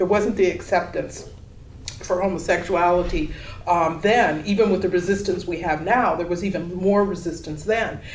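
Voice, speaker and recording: Moderate-paced speech from a woman at a medium pitch, with fairly even intonation, audible room echo and noticeable background noise. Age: 60s. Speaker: exhibiting artist. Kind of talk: panel discussion. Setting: gallery panel with audience.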